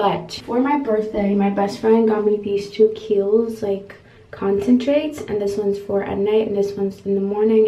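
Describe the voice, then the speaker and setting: A woman talks at a fairly quick pace with fairly even intonation. Room echo is audible. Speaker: vlogger. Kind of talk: casual vlog chat. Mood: happy, chatty. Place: bathroom.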